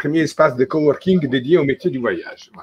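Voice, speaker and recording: A man's voice sits fairly high in pitch, with ordinary pitch variation. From Italy. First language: Italian (speaking French). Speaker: travel industry association president. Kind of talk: video conference panel introduction. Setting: video call.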